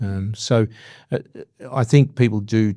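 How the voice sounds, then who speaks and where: A man speaks with an Australian accent and a dark, mellow tone. His pitch variation is ordinary, and the recording is very clean with a silent background. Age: 60s. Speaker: business leader and executive coach. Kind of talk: interview. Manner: hesitant, many fillers.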